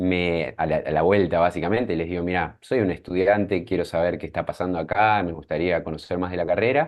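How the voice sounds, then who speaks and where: Talking in an Argentine accent, a man with a very deep, low pitch keeps a fairly quick pace with hardly any pauses and ordinary pitch variation. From Argentina, Mar del Plata. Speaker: scientist and startup founder. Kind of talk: interview.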